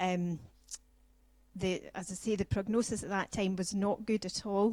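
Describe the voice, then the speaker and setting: The speaker has a Scottish accent and a moderate pace. The intonation stays fairly even. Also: woman. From Scotland. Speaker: patient speaker. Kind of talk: personal testimony talk.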